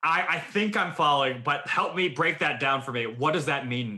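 A man with a plain, everyday voice, fairly high in pitch. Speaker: podcast host. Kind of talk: casual chat.

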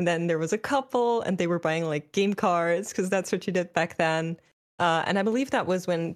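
In a very clean recording with a silent background, a woman with a German accent talks in a fairly low pitch with ordinary pitch variation. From Germany. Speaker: esports host and caster. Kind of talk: casual interview.

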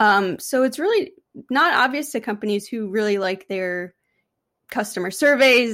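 Recorded very cleanly with a silent background, a woman with an unremarkable speaking voice talks at a fairly slow pace and a fairly high pitch. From US Northeast, Albany, New York. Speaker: UX consultant. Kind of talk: interview.

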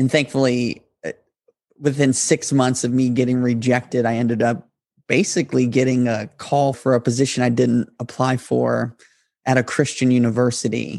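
Here a man talks at a moderate pace in an ordinary speaking voice. His pitch is medium and his intonation fairly even. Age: 30s. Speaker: podcast host. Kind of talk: motivational monologue.

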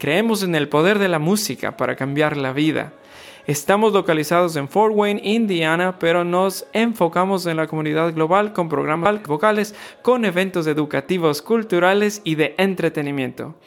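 A man talks at a very fast pace in a high pitch. His pitch varies in an ordinary way. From Ecuador. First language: Spanish. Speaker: podcast host. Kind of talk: interview; scripted promo.

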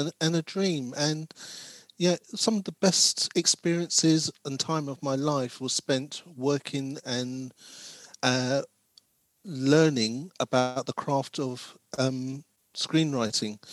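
A man with a London accent speaks at a very slow pace. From South London, England. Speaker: screenwriter and diversity consultant. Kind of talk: interview.

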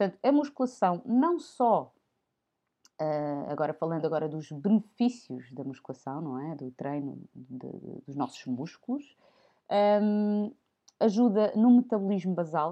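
Speaking at a fairly slow pace, a woman with a fairly low pitch swings very widely in pitch and makes big swings in loudness. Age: 30s. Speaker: podcast host. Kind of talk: informal health talk.

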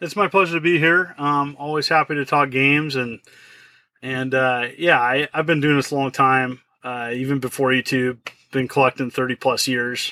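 Fairly high in pitch, a man speaks with a bright, sharp tone and fairly even intonation at a moderate pace. The sound is dry and close, with no echo. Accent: American. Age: 40s. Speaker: retro game collector and YouTuber. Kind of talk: casual interview chat. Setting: video call.

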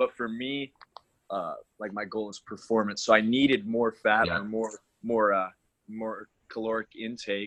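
In a dry, close recording with no echo, a man speaks at a medium pitch and a moderate pace. His intonation is fairly even, broken by long, frequent pauses. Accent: Canadian. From Alberta, Canada. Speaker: college basketball player. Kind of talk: casual interview.

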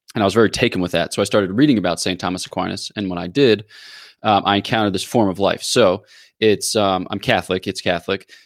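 Recorded against a very clean, silent background, a man with an American accent talks at a very fast pace. His pitch is fairly low. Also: fairly even intonation. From US, Philadelphia area. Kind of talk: explanatory theological interview.

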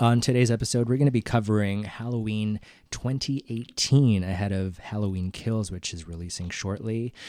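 On a very clean recording with a silent background, a man with a normal speaking voice talks in a fairly low pitch with ordinary pitch variation and hardly any pauses. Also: moderate pace. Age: 30s. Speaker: podcast co-host. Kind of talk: casual chat.

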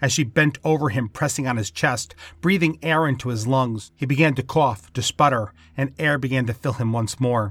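In a very clean recording with a silent background, a man has an unremarkable speaking voice, a medium pitch and ordinary pitch variation. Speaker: fiction podcast narrator. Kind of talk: horror narration; scripted fiction reading. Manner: theatrical, relishing dark menace; slow, ominous, with sinister laughs.

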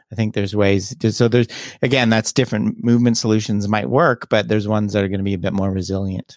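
A man with a Canadian accent, fairly low pitch and fairly even intonation, at a very fast pace, in a dry, close sound with no echo on a very clean recording with a silent background. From Canada, Toronto area. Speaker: skill acquisition researcher. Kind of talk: interview. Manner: hesitant with repeated words.

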